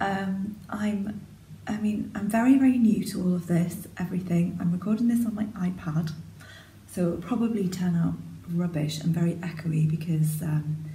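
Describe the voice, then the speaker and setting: Quiet and somewhat breathy, a woman speaks at a moderate pace with a fairly low pitch, ordinary pitch variation, and a dark, mellow tone. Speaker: sewing vlogger. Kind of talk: casual talk to camera. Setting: echoey spare room.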